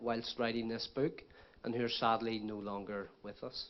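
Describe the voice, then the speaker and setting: A man with a Northern Irish accent at a moderate pace. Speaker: book author. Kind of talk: speech at book launch. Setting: stage with audience.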